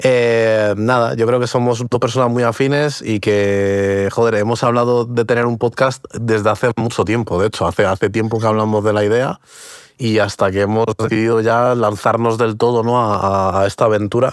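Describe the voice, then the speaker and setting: A man at medium pitch, monotone and flat, very even in loudness, moderate in pace, on a very clean recording with a silent background. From Portugal, raised in Spain from age six. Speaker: podcast co-host. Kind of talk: casual chat. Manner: halting, many repetitions and fillers.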